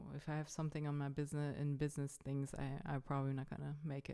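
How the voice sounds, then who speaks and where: On a very clean recording with a silent background, a woman with a German accent speaks at a very deep, low pitch. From Germany. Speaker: vlogger. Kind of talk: casual vlog. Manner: halting, many fillers.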